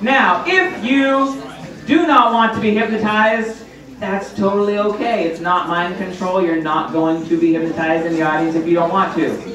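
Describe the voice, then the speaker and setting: Over light background noise and audible room echo, a man speaks at a high pitch with ordinary pitch variation. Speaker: stage hypnotist. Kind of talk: hypnotic induction: slow, repetitive suggestions to relax and focus on his voice. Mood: calm, reassuring, slow in induction. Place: hall.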